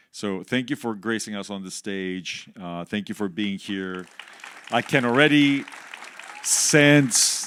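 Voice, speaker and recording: Crowd noise fills the background as a man speaks. He talks at a fairly slow pace with lively intonation. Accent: non-native. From Canada. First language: not English. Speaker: music industry executive. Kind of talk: interview on stage. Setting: stage with audience.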